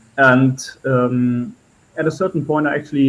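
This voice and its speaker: A man with a German accent, medium pitch and fairly even intonation. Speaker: spiritual channeler. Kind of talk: interview storytelling. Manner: halting, with many fillers.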